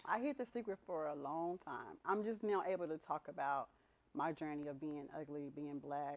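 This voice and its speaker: A woman speaks at a moderate pace. Her pitch is very deep and low, and her intonation is lively. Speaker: interview guest sharing personal story. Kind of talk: testimony.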